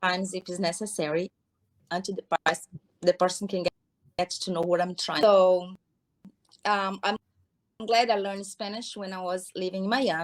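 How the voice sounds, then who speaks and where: A woman's medium-pitched voice with a Brazilian accent, at a moderate pace with fairly even intonation and long, frequent pauses, in a dry, close sound with no echo. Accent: foreign accent, Brazilian. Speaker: hair care business owner. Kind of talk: interview. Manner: halting.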